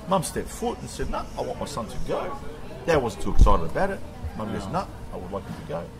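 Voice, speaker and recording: Music plays behind a man talking very fast. His loudness swings widely. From Australia. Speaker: president of a Cretan community federation. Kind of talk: interview answer.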